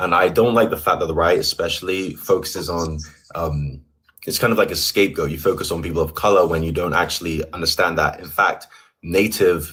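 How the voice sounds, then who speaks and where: A man with a London accent speaks in a very deep, low voice at a fairly quick pace. His intonation is fairly even, and the recording is very clean with a silent background. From England, London. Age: 20s. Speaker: caller, left-wing debater. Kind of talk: debate.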